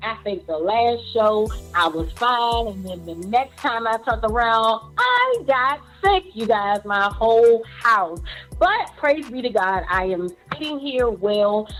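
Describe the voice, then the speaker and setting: In an American accent, an upbeat voice with lively intonation moves at a very slow pace over music in the background. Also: woman, fairly high pitch for a woman. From USA. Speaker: radio show host. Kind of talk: radio show opening.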